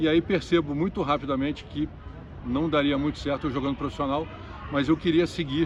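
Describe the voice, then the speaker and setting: A man talks at a fairly quick pace in a fairly high voice with monotone, flat intonation. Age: 60s. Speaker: tennis commentator and coach. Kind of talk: interview.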